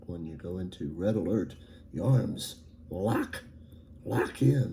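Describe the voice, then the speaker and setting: Amid audible room echo, a man speaks at a very slow pace with a very deep, low pitch, vocal fry, a dark, mellow tone and lively intonation. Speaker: writer vlogger. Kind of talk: casual writing vlog. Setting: home recording, fan turned off. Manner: halting, many fillers.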